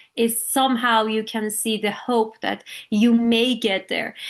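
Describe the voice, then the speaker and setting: An Iranian accent marks a woman's fairly high voice. She talks at a fairly slow pace over a quiet background. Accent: Iranian (Persian) accent in English. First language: Persian. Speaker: artist, illustrator. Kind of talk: artist talk at online panel. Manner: halting, many fillers.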